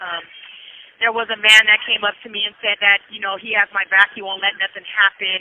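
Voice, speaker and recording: Noticeable background noise runs under this woman's voice. She talks at a fairly quick pace with a medium pitch. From Southern California, San Bernardino. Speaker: prison inmate. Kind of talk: testimony. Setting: phone call. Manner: animated.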